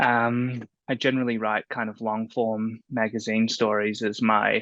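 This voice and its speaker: Over a quiet background, a man with an Australian accent talks at a fairly slow pace and medium pitch, his tone bright and sharp and his intonation monotone and flat. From Australia, Melbourne. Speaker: freelance journalist and writer. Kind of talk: panel discussion.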